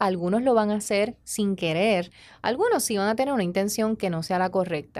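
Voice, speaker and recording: A woman with a plain, everyday voice speaks at a medium pitch and a moderate pace, with ordinary pitch variation. The recording is very clean, with a silent background. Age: 30s. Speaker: relationship educator and podcast host. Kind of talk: motivational talk. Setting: studio.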